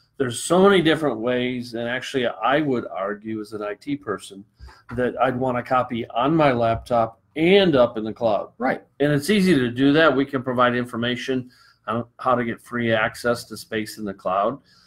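A man talks at a moderate pace with an American accent. His pitch varies in an ordinary way. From Michigan, US Midwest. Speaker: real estate broker; show host. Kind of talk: casual interview. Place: office. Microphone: webcam.

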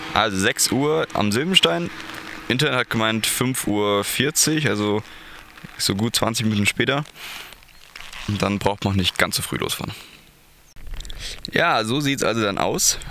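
A man's fairly low voice with a bright, sharp tone and lively intonation, at a fairly slow pace with long, frequent pauses

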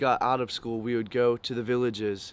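Dry with no echo, a man's voice holds a monotone, flat intonation at a moderate pace. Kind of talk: interview answer. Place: waterside.

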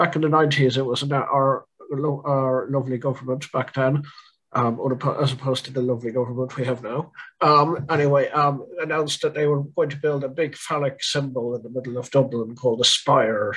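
Using an Irish accent, a man talks at a moderate pace in a fairly high pitch with monotone, flat intonation. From Ireland. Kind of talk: online panel presentation. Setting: video call. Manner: halting. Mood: wry, joking. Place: home room. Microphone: video call.

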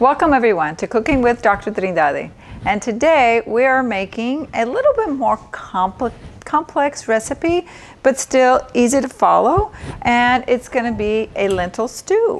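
Speaking at a fairly slow pace, a woman uses a high pitch. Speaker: doctor cooking show host. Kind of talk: tutorial. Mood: warm, informative. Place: kitchen.

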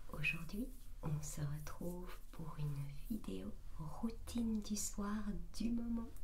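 Over light background noise, a woman speaks very slowly at a fairly low pitch with lively intonation. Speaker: ASMR content creator. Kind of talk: ASMR routine video, casual talk to camera. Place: bathroom. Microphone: studio mic.

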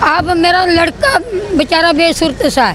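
A woman's extremely high voice at a very slow pace, dry with no echo, crowd noise in the background. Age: old. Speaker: complainant grandmother. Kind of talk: public grievance plea to politician. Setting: outdoors public meeting. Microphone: handheld.

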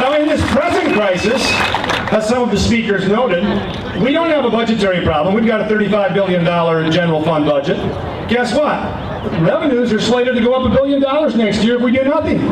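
A man talks at a fairly quick pace with lively intonation. Audible room echo and noticeable background noise surround his voice. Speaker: speaker. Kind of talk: political rally speech. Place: street.

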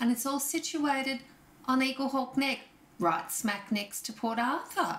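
Her pitch is high for a woman, with ordinary variation. She speaks at a fairly slow pace. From Tasmania, Australia (Hobart). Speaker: interviewer, magazine host. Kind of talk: interview. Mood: friendly, engaged. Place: home room.

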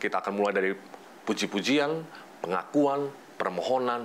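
A man's fairly quick speech with long, frequent pauses, ordinary pitch variation and light background noise. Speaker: program co-host. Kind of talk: religious program hosting. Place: studio. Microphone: lapel.

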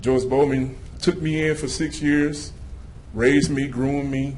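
There is audible room echo as a man speaks at a fairly high pitch and a fairly slow pace. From Louisiana. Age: 30s. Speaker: citizen speaker at public comment. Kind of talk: public comment speech. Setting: city council meeting. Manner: animated.

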